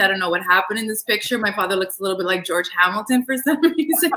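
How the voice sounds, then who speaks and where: Over noticeable background noise, a woman with a fairly high voice speaks at a very fast pace. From Toronto area, Canada (Greek-Canadian family). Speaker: cosmetics industry business partner. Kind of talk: casual interview chat.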